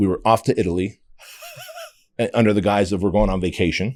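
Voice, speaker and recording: In a very clean recording with a silent background, the speaker talks at a fairly quick pace in an animated tone. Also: man. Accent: American. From Armenia, raised in US from age six. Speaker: fitness entrepreneur. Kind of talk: podcast interview, storytelling.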